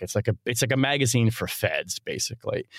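A man with a normal speaking voice at medium pitch, fairly quick pace, dry close sound with no echo, and a very clean recording over a silent background. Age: 40s. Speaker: national security journalist. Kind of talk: casual interview.

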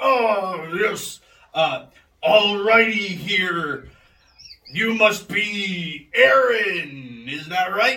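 A man puts on a high-pitched character voice, raised and projected. He speaks at a very slow pace with long, frequent pauses. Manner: impatient, folksy exclamations.

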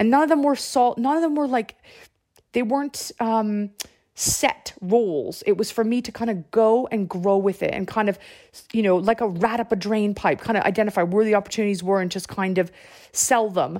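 With a Canadian accent, a woman speaks at a moderate pace in a fairly high pitch and a dark, mellow tone. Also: ordinary pitch variation, very clean recording, silent background. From Canada. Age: 40s. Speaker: marketing director. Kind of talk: interview. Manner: hesitant, many fillers.

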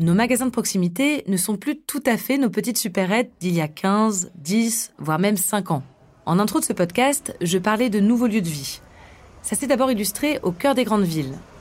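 Speaking at a moderate pace and medium pitch, a woman has an unremarkable speaking voice in a very clean recording with a silent background. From Grenoble area, Rhône-Alpes, France. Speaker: podcast host, reporter. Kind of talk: scripted narration.

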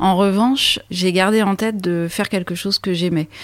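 Moderate pace and fairly low pitch from a woman, an ordinary speaking voice. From France, Champagne (Troyes). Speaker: sailor and expedition leader. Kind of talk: storytelling interview.

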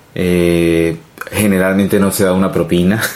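The intonation stays monotone and flat while noticeable background noise runs underneath. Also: man. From Colombia. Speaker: immigrant interviewee. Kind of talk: casual interview. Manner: halting. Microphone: too quiet.

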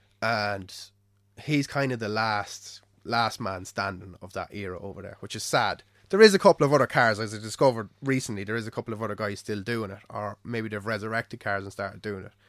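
A man with an Irish accent talks at a fairly quick pace in a fairly low pitch, his intonation fairly even. His loudness swings a lot, and the recording is very clean with a silent background. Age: 20s. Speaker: car enthusiast. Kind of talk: casual chat.

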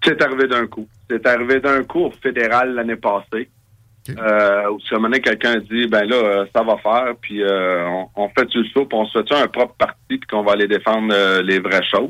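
At a fairly slow pace, a man with an ordinary speaking voice talks at a medium pitch with fairly even intonation. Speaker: political party leader. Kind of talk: interview.

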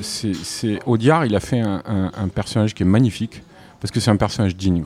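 Fairly quick and fairly low in pitch, a man's voice carries a slightly mellow tone and ordinary pitch variation.

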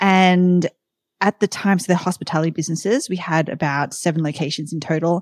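A woman with an Australian accent talks at a fairly quick pace in a fairly low pitch, her intonation fairly even, with a dry, close sound, no echo, and a very clean recording over a silent background. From Sydney, Australia. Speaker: tech company founder and CEO. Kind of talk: casual interview chat.

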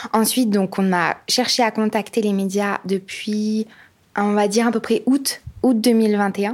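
A woman with a fairly high pitch speaks at a very slow pace. Her intonation is monotone and flat, and her loudness stays very even. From France, Vosges. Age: 20s. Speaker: presidential candidate. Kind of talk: interview. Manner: hesitant, many fillers.

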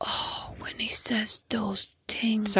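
A woman's raspy put-on character voice, fairly high in pitch. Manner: creepy.

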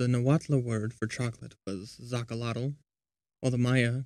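The speaker is a man with a medium pitch. He keeps a moderate pace in monotone, flat intonation. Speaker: podcast host. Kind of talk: history documentary narration, scripted and read aloud. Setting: recorded while traveling abroad. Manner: even, measured, informative.

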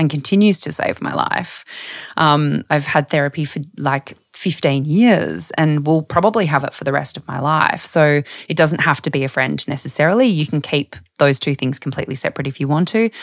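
A woman talks at a moderate pace in an Australian accent. Her pitch is very deep and low, with ordinary variation. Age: 30s. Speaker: health journalist and author. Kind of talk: casual interview chat.

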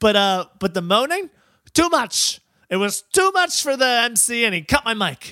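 A man's raised, projected voice with an American accent, extremely high pitch, very wide pitch swings and a bright, sharp tone, at a fairly slow pace in a very clean recording with a silent background. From upstate New York. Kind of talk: casual comedy podcast chat.

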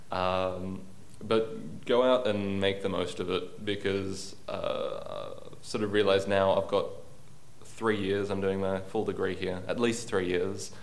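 A man speaks at a fairly low pitch and fairly slow pace. His intonation is monotone and flat, with audible room echo. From Australia, Sydney. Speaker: university student. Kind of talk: interview.

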